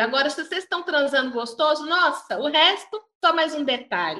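This woman speaks in a raised, projected voice. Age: 40s. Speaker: sex coach. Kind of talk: casual interview chat.

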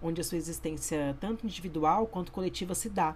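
Speaking in an ordinary speaking voice, this woman keeps to a fairly low pitch and shows ordinary pitch variation. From Brazil, Campo Grande (Mato Grosso do Sul). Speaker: history student. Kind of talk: educational podcast presentation.

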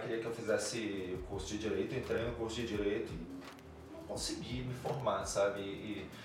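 A man talks at a moderate pace while audible room echo and noticeable background noise fill the space. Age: 40s. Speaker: cultural producer and DJ. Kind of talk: casual interview chat.

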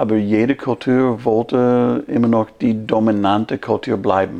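A man speaks very slowly in an English accent. His pitch is medium and his intonation fairly even. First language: English (speaking German). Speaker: pastor. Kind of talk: casual chat.

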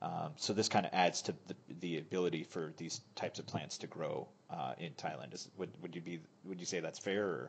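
A man speaks with an American accent at a very deep, low pitch. His voice carries vocal fry. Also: ordinary pitch variation. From United States. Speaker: podcast host. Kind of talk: casual chat.

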